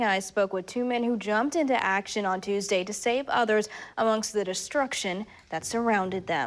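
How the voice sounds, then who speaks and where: An unremarkable speaking voice on a very clean recording with a silent background. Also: woman. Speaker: TV news reporter and anchor. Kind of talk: TV news reporting.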